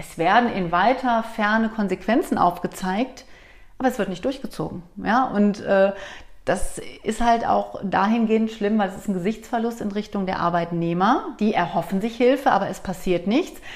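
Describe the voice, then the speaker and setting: A woman's fairly high voice at a moderate pace with ordinary pitch variation, an unremarkable speaking voice. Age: 40s. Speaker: company director and coach. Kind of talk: interview conversation.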